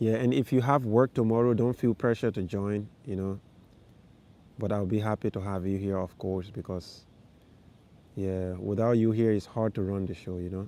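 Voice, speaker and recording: Speaking with a West African accent, a man has a dark, mellow tone and a fairly low pitch. He keeps a moderate pace with ordinary pitch variation. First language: Fulani. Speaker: vlogger, live stream host. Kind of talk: casual livestream chat with viewers. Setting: outdoors in a park at night, livestream.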